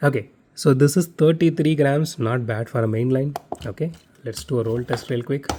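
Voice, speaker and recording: A man with a Tamil accent talks at a moderate pace and medium pitch. His tone is dark and mellow, with ordinary pitch variation. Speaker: diecast collector YouTuber. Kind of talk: unboxing review. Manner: casual, many fillers.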